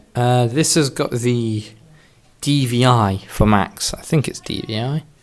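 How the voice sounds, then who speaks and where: Mumbling from a man at medium pitch with ordinary pitch variation, over noticeable background noise. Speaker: tech hobbyist vlogger. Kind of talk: casual show-and-tell video.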